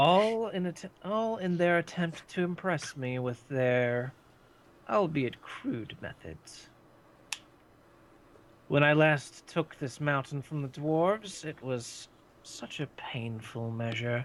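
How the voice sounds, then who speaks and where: Using a put-on character voice, a man speaks fairly high with long, frequent pauses. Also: fairly slow pace. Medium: actual play. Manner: grandiose, condescending.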